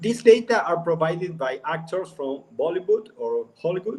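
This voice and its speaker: A man with an Argentine accent and a high pitch talks at a fairly slow pace with ordinary pitch variation. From Argentina, Buenos Aires. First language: Spanish. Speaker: company CEO. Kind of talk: casual live stream chat. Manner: halting.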